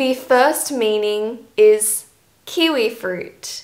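The background stays quiet. A woman speaks at a very slow pace. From Australia. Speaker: English teacher, YouTuber. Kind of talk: scripted educational talk to camera. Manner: clear, measured delivery for learners. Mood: friendly, cheerful.

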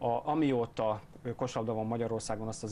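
Over light background noise, a man speaks at medium pitch in a dark, mellow tone with fairly even intonation. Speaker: basketball studio analyst. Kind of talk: studio analysis. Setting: studio. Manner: hesitant with fillers. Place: studio. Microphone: lapel.

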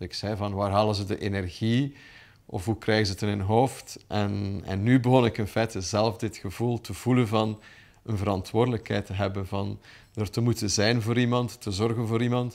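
Someone with a Flemish accent speaks at a moderate pace with fairly even intonation. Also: man, fairly low pitch for a man. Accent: Flemish Dutch. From Flanders, Belgium. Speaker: businessman and dog owner. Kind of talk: interview testimony. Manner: hesitant with fillers. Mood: warm, reflective. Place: home room.

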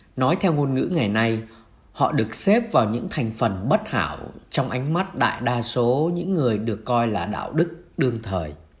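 A man talks at a moderate pace, somewhat breathy, with very wide pitch swings. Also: medium pitch for a man. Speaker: priest. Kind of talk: homily-style reflection on the Gospel.

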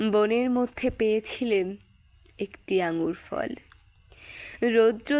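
A plain, everyday voice from a woman, fairly high in pitch, with lively intonation. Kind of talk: poetry reading.

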